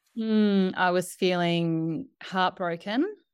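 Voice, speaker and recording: Captured on a very clean recording with a silent background, a woman speaks with a fairly low pitch and ordinary pitch variation. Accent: Australian. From Australia. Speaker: doula and author. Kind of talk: interview conversation.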